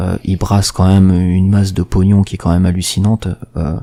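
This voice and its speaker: A man speaks with very deep, low pitch and a dark, mellow tone. His intonation is monotone and flat. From Marseille, southern France. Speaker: gaming podcast co-host. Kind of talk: casual chat. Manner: hesitant, many fillers.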